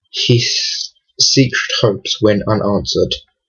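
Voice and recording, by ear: Against a quiet background, a passage is read aloud in a natural voice with fairly even intonation.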